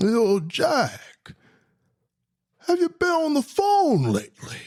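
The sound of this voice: A put-on character voice, pitched high, carries the whole clip. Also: fairly slow pace.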